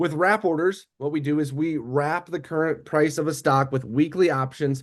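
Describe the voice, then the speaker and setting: A man's fairly high-pitched voice carries fairly even intonation. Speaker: trading educator. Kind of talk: live trading webinar tutorial. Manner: fast.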